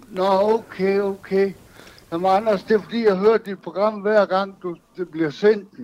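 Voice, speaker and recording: A man's high voice, monotone and flat in intonation, at a fairly slow pace. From Denmark, Aalborg. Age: 60s. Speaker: caller. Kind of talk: phone-in conversation.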